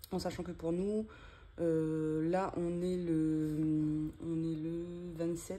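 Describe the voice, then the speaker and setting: Against audible room echo, a woman speaks in a dark, mellow tone at a fairly low pitch, her intonation monotone and flat. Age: 30s. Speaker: budget vlogger. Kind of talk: casual vlog tutorial. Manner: halting, many hesitations.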